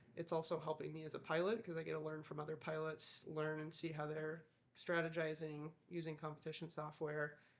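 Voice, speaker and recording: A woman talks fairly quickly with a US Midwestern accent. Her pitch is very deep and low, and her intonation is monotone and flat. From US Midwest, Iowa. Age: 30s. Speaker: balloon crew member and pilot. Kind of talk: documentary interview.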